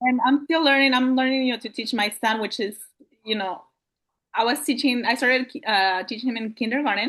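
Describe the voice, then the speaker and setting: Fairly quick speech in a Spanish accent with ordinary pitch variation. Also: woman, high pitch for a woman. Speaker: homeschooling parent. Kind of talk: Q&A question on a video call.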